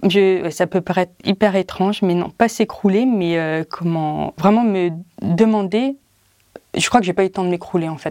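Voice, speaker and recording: A woman's medium-pitched voice, dark and mellow in tone, on a very clean recording with a silent background. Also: ordinary pitch variation, fairly slow pace. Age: 40s. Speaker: patient with a rare disease. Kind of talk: testimony. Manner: halting.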